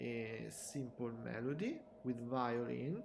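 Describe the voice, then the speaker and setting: With an Italian accent, a man speaks at a very slow pace amid noticeable background noise and audible room echo. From Italy. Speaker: music producer. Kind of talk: tutorial; live stream. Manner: halting.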